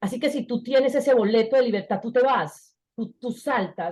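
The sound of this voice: A woman with a fairly high voice and a slightly husky edge speaks at a moderate pace. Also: ordinary pitch variation.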